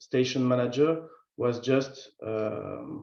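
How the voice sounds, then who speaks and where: With a French accent, a man speaks at a medium pitch and a very slow pace with fairly even intonation, amid audible room echo. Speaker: field station manager. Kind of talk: virtual conference introduction. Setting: video call.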